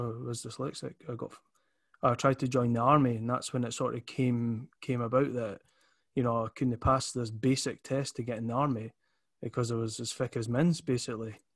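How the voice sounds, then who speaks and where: A man with an Edinburgh accent speaks at medium pitch in a monotone, flat intonation. The background is quiet. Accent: Edinburgh Scottish. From Scotland, Leith (Edinburgh). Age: 30s. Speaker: entrepreneur. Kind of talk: casual interview chat.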